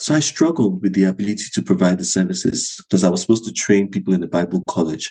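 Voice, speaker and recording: Very deep and low with vocal fry, a man's dark, mellow voice rushes at a very fast pace with hardly any pauses and lively intonation. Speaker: psychologist and mental health clinic director. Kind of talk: podcast interview.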